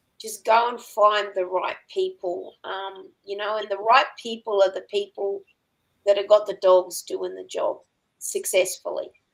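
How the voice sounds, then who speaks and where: A woman with an Australian accent speaks at a fairly slow pace in a medium pitch. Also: big swings in loudness. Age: 60s. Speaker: working dog trainer and farmer. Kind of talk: podcast interview.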